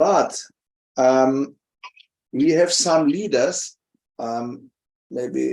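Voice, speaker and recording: A dark, mellow tone with a non-native accent. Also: man. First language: not English. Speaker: religious speaker. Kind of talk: talk at a festival seminar. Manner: halting, many fillers.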